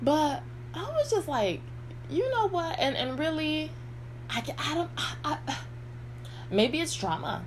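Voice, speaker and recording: A woman at a fairly slow pace, with long, frequent pauses and noticeable background noise. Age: 50s. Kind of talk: casual talk to camera. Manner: rambling.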